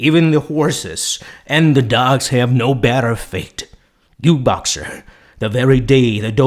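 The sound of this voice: This is an unforced reading voice. Pitch variation is ordinary.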